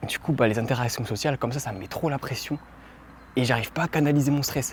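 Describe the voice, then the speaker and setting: A man's somewhat breathy, medium-pitched voice at a very fast pace, with ordinary pitch variation. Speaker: vlogger. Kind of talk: casual talk to camera. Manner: improvised, unscripted.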